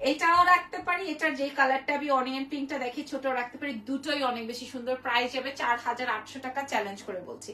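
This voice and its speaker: A woman uses a raised, projected voice at a high pitch, with ordinary pitch variation. Her loudness swings widely over light background noise. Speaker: online boutique seller. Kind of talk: live sales stream. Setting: live video stream. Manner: animated. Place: shop. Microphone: phone near.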